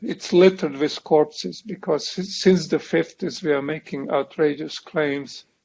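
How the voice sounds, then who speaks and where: With a strong non-native accent, a man speaks at a fairly high pitch. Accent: foreign accent, self-described strong. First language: not English. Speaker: professor. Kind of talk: lecture.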